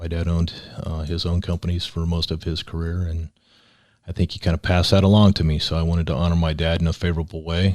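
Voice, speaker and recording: Very fast and monotone with flat intonation, a man with a very deep, low pitch speaks in a very clean recording with a silent background. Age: 60s. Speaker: business exit planning consultant, company founder. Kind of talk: podcast interview. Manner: conversational, some repetition and stumbles.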